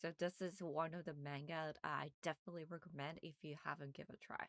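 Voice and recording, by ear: A woman speaks at a fast pace with a low pitch and a fairly bright tone. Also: fairly even intonation, dry, close sound with no echo.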